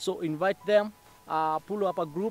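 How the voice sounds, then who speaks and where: Recorded with a dry sound and no echo, a man speaks with ordinary pitch variation over light background noise. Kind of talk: informative talk to camera. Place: open country.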